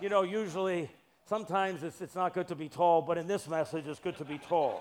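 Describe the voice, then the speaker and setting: Pitched high, a man speaks in a playful tone. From Massachusetts (Brockton). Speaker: preacher, urban ministry director. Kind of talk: guest sermon in church, Pentecostal-style preaching with congregational call-and-response. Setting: church service with congregation. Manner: playful, joking asides to the congregation; animated, exhorting preacher cadence with repetitions and rising calls for amens.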